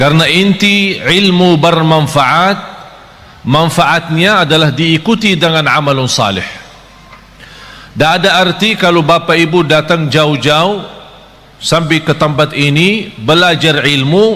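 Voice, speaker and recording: With audible room echo and noticeable background noise, a man speaks at a fairly high pitch and a fairly slow pace, keeping very even loudness and ordinary pitch variation. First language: Arabic (speaking Indonesian). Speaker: Islamic preacher. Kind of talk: sermon. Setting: live audience at religious gathering. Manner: animated.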